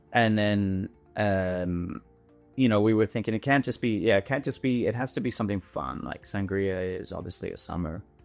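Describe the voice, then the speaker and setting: A man's fairly low voice at a moderate pace, with ordinary pitch variation and music in the background. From Canada, British Columbia. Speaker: winery owner and winemaker. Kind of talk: podcast interview answer. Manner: casual, hesitant.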